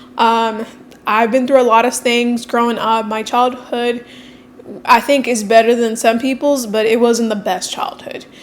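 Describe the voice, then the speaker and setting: Noticeable background noise sits behind this woman. She speaks at a high pitch and a moderate pace. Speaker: fitness coach and vlogger. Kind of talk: casual vlog monologue.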